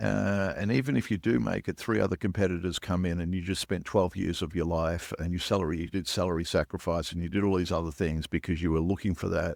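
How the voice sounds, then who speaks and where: Very fast and with hardly any pauses, a man speaks at a very deep, low pitch with vocal fry and ordinary pitch variation, in a very clean recording with a silent background. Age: 60s. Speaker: serial founder and investor. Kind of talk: podcast interview. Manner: halting, many fillers and repeats.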